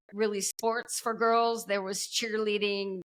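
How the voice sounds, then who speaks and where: A woman with an American accent speaks at a fairly high pitch. Her intonation is monotone and flat, and her pace is fairly slow. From US Midwest. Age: 60s. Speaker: metabolic health coach. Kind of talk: interview.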